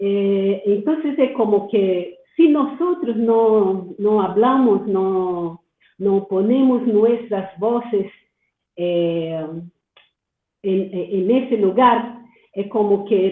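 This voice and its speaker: With a Portuguese accent, a woman speaks at a very slow pace with ordinary pitch variation. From Brazil. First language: Portuguese (speaking Spanish). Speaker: doctoral student, audience participant. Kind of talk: Q&A comment in webinar. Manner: halting, many fillers and repetitions.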